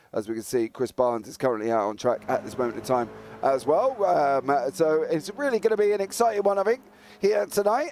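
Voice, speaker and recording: A man with an English accent speaks with very wide pitch swings. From England. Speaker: sim racing commentator. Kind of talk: live commentary. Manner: animated.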